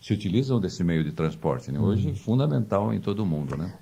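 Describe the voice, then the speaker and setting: Here a man's pitch swings very widely. His tone is dark and mellow. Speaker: documentary narrator. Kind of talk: interview answer.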